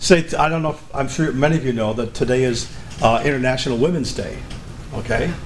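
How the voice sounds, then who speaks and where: With noticeable background noise and audible room echo, a man speaks at a fairly quick pace with ordinary pitch variation. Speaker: musician and videographer. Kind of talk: talk to a live audience. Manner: holds back volume, cannot yell.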